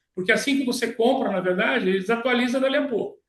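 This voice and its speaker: The man talks at a very fast pace with fairly even intonation. His pitch is high. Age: 60s. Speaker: medical professor and physician. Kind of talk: online panel answer. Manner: halting, self-correcting.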